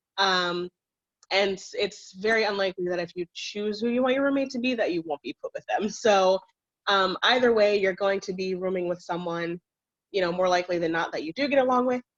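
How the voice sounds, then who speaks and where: This woman has a plain, everyday voice at a medium pitch, ordinary pitch variation and a fairly quick pace, recorded with a dry, close sound and no echo. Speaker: student admissions ambassador. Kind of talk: virtual campus tour presentation.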